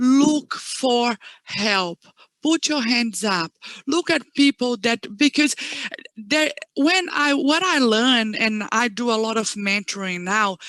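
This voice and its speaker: A woman with a non-native accent and a high pitch, speaking at a very slow pace, in a dry, close sound with no echo. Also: lively intonation. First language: not English. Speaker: education manager. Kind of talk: panel interview.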